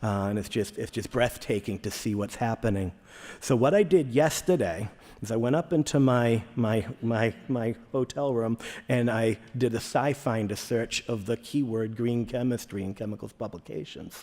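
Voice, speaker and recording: A man talks in a Boston accent at a moderate pace. His tone is dark and mellow, with medium pitch and ordinary pitch variation. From Boston area, Massachusetts. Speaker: chemist, conference speaker. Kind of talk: conference talk. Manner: repetitive, halting in places.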